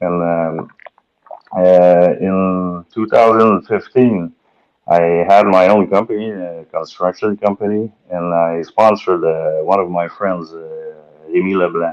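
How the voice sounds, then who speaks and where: In a strong Quebec accent, a man speaks with a very deep, low pitch and fairly even intonation. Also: fairly slow pace. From Quebec, Valleyfield. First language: French. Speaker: boat racing driver. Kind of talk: podcast interview. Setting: live-streamed podcast. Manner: halting, many fillers.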